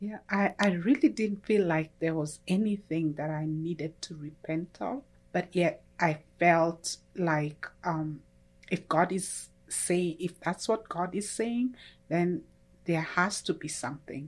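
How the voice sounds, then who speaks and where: A woman with a Kenyan accent speaks in a fairly low pitch. She talks very slowly. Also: ordinary pitch variation. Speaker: church member sharing testimony. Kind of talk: testimony.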